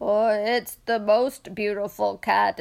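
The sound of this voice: Here the speaker reads in an unforced reading voice.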